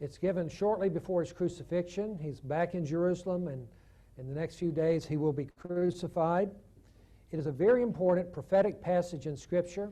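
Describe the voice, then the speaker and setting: A man with a Southern US accent speaks at a fairly quick pace. His pitch is high and his tone is dark and mellow. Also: ordinary pitch variation. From US South, Chattanooga, Tennessee. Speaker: theologian and guest lecturer. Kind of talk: lecture. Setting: church conference with audience.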